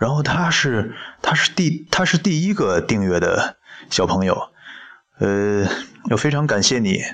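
A man's fairly high voice with very wide pitch swings, very even loudness, a fairly slow pace and long, frequent pauses. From China. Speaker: podcast host reading books aloud. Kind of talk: casual monologue with book reading. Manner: halting, hesitant with many fillers.

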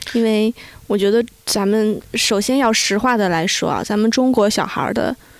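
A woman with a fairly high pitch has an unremarkable speaking voice. Her pace is moderate, her intonation fairly even and her loudness very even. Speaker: mother living abroad. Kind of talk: casual chat.

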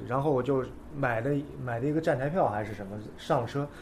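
With audible room echo, a man talks at a fairly quick pace in a somewhat breathy voice with a dark, mellow tone. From China, Nanjing. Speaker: skateboarder. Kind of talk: casual chat.

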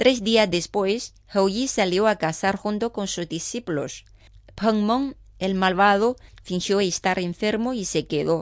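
Using a dramatic tone, a woman speaks at a very slow pace in a medium pitch with ordinary pitch variation. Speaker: radio host. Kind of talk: mythic legend narration, storytelling read aloud. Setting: studio. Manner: measured, dramatic storyteller pace.

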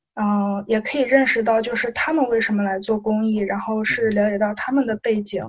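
In an unremarkable speaking voice, a woman with fairly high pitch talks at a fairly quick pace with fairly even intonation. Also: hardly any pauses. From Shandong. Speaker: student volunteer. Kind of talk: casual interview.

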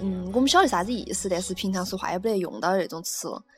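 A woman speaks with a Chengdu accent at medium pitch. Her pitch varies in an ordinary way. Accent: Chengdu Sichuanese. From Chengdu, Sichuan. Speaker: radio host. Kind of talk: casual chat.

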